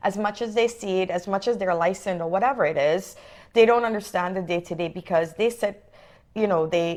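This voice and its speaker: With a non-native accent, the speaker talks at a fairly quick pace in an animated tone with ordinary pitch variation. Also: woman, medium pitch for a woman. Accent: foreign. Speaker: realtor. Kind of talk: interview.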